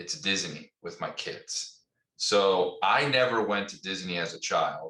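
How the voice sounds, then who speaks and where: A man with a slight New Jersey accent talks at a fairly slow pace. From New Jersey, Essex County. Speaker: company CEO, former army officer. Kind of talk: interview.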